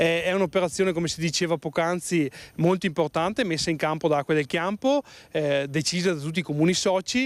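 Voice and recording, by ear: Talking fairly quickly, a man lets his pitch vary in an ordinary way. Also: fairly high pitch for a man.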